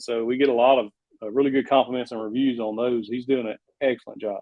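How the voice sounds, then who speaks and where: A man with a Southern US accent talks at a very fast pace. His intonation is flat and monotone, while his loudness swings widely. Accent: Southern US country. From Arkansas. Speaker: woodworking YouTuber. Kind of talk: interview answer. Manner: casual.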